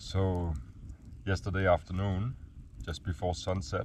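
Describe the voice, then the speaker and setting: With a Danish accent, a man speaks at a fairly slow pace in a very deep, low pitch, somewhat breathy. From Denmark. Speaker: gold prospector vlogger. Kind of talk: outdoor vlog narration. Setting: outdoors, camping in bush.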